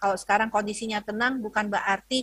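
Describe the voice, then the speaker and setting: A woman speaks at a fairly high pitch. The background is quiet and the sound is dry with no echo. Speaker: health ministry spokesperson; presenter. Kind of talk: lecture. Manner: hesitant, many fillers. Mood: earnest, cautionary. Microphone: video call.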